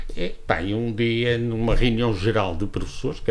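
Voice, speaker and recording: A man speaks with lively intonation and a somewhat breathy quality, and the room echo is audible. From northern Portugal, Viana do Castelo area. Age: 70s. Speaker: former politician and school director. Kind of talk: interview testimony. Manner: halting, many repetitions.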